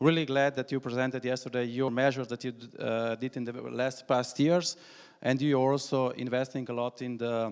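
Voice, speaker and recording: A man with a Slovenian accent speaks at medium pitch and a moderate pace in a monotone, flat intonation. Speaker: national cycling coordinator. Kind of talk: conference presentation. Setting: conference hall with audience. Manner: halting, many fillers.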